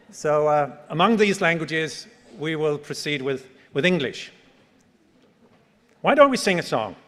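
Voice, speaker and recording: In audible room echo, a man with a Danish accent speaks at a fairly slow pace with long, frequent pauses. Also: fairly high pitch for a man, ordinary pitch variation. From Denmark. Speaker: professor. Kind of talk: conference keynote.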